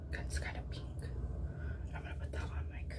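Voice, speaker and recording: A woman speaks over loud background noise. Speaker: beauty vlogger. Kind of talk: ASMR get-ready-with-me makeup video, whispered talk to camera. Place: bathroom. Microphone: phone near.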